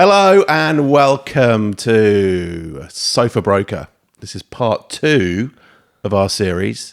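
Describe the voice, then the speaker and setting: A fairly low-pitched man with a British accent at a very slow pace, lively intonation and big swings in loudness. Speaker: podcast co-host, property broker. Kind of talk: casual chat. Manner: hesitant, filler-heavy.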